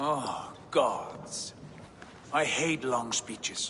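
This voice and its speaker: Over clear background noise, a man does a put-on character voice at a fairly high pitch. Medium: video game.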